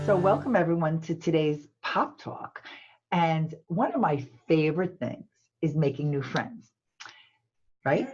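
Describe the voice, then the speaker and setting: A woman's fairly low, somewhat breathy voice at a fairly slow pace, with lively intonation and long, frequent pauses. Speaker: talk show host. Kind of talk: casual talk show intro.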